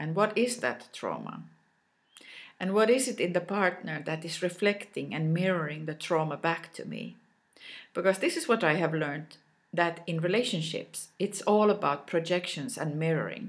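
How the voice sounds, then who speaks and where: A woman speaks at a moderate pace with fairly low pitch and ordinary pitch variation. The recording is very clean, with a silent background. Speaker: self-love coach. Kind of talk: reflective monologue.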